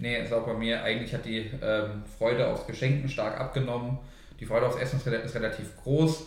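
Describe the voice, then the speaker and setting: A man speaks at a fairly quick pace. The recording has audible room echo and noticeable background noise. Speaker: podcast co-host. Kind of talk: casual chat.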